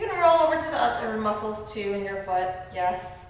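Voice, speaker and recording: In a room with audible echo and noticeable background noise, a woman speaks at a moderate pace with lively intonation. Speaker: ballet teacher. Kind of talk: tutorial. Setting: dance studio.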